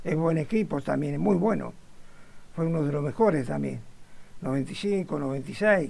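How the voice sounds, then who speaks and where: A man with a Rioplatense accent speaks very slowly at a fairly high pitch, using lively intonation and long, frequent pauses. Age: 90s. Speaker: retired butcher, football fan. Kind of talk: interview. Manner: halting.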